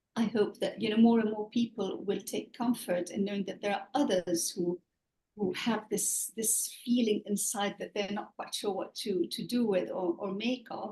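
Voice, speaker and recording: At a moderate pace, a woman speaks in a medium-pitched, dark, mellow and somewhat breathy voice with ordinary pitch variation. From Lebanon. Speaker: author. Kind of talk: interview. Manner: halting.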